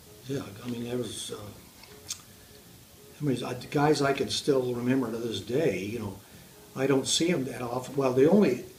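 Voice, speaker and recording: A man's medium-pitched voice with an American accent at a moderate pace, with noticeable background noise and audible room echo. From Southern California. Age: 80s+. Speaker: war veteran. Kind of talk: interview. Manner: halting.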